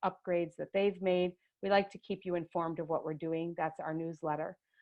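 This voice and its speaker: At a fairly quick pace, a woman speaks in a fairly low pitch with monotone, flat intonation. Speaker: education staff presenting a webinar. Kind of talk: tutorial. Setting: video call webinar.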